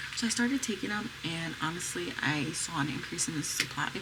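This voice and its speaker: Soft-spoken, a woman with an American accent talks at a fairly quick pace and a fairly low pitch with ordinary pitch variation, amid audible room echo and noticeable background noise. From US, Pennsylvania. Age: 30s. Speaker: mom vlogger. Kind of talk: casual vlog talk. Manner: soft, low voice.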